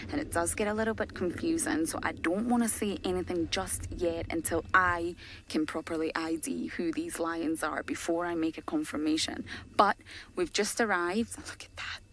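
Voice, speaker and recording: A woman's fairly low-pitched, unremarkable speaking voice, with lively intonation at a moderate pace. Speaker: safari guide. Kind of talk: live commentary. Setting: outdoors.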